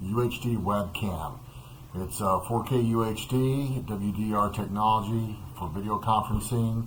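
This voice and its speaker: A man's pitch shifts in an ordinary way while the room echoes audibly around him. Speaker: product reviewer. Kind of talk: product review. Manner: halting, many fillers. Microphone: webcam's built-in dual mics via laptop.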